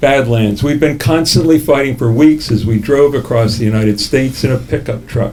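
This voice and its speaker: There is noticeable background noise as a man talks at a fairly quick pace, with a medium pitch and ordinary pitch variation. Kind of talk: memoir reading. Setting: live cafe reading.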